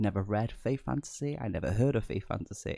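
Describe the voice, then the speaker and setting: This man has a dark, mellow tone and a fairly low pitch, with lively intonation and vocal fry. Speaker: book reviewer. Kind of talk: casual talk to camera, book review. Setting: close to microphone.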